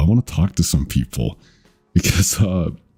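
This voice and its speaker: Music plays in the background as a man speaks at a moderate pace with ordinary pitch variation, the sound dry and close with no echo. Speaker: vtuber streamer. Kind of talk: casual chat. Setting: livestream. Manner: halting.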